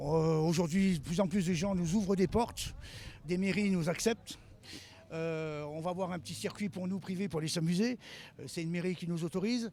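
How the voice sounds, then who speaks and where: Here a man talks at a high pitch in a dark, mellow tone. His pace is moderate, with ordinary pitch variation. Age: 60s. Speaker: car mechanic and drift car builder. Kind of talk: on-site interview. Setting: outdoors at a motor event.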